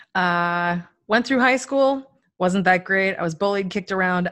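An unremarkable speaking voice from a woman, medium in pitch with ordinary variation, at a moderate pace, on a very clean recording with a silent background. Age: 30s. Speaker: entrepreneur and author. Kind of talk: casual interview chat.

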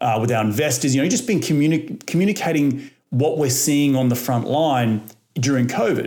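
With an Australian accent, a man of medium pitch speaks in a dark, mellow tone at a moderate pace with ordinary pitch variation. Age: 30s. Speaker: real estate investor. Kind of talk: podcast interview.

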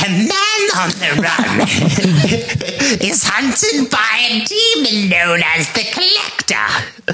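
Faint music plays behind a man doing a put-on character voice, pitched high and delivered at a very slow pace. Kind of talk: theatrical, spooky. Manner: cackling, ghoulish.

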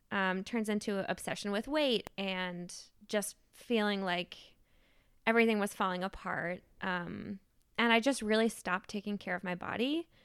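In a very clean recording with a silent background, a woman with an American accent talks at a moderate pace and medium pitch with ordinary pitch variation, in an ordinary speaking voice. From Maine, US. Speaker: divinity student. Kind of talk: interview testimony.

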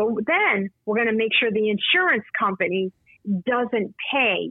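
An unremarkable speaking voice at a fairly slow pace. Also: woman. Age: 50s. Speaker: patient advocate and author. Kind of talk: casual chat.

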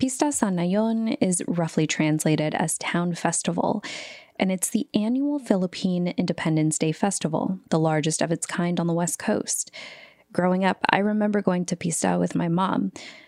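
A woman with an American accent speaks in an ordinary speaking voice at a fairly low pitch and a moderate pace, with lively intonation and very even loudness. The recording is very clean and dry, with a close sound, no echo, and a silent background. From San Francisco Bay Area, Vallejo, Filipino American. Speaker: radio host and reporter. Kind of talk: scripted narration.

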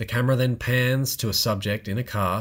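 The recording is very clean, with a silent background. A man speaks in a somewhat breathy, medium-pitched voice with fairly even intonation. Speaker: podcast co-host. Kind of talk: casual chat.

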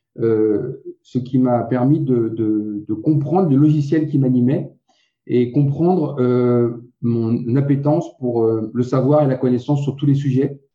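A man's medium-pitched voice at a very slow pace, with very even loudness and fairly even intonation. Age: 40s. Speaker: keto diet website co-founder. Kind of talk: interview.

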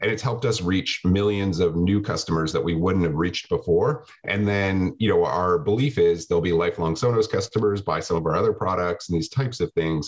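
A man with a Canadian accent and a fairly low pitch talks with hardly any pauses, very even loudness and ordinary pitch variation in a plain, everyday voice. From Canada, small town. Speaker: tech company CEO. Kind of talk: interview.

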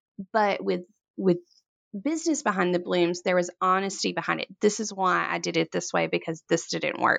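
A woman in a Mississippi accent speaks at a moderate pace. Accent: Southern US (Mississippi). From US South, Corinth, Mississippi. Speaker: floral designer and business owner. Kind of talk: interview.

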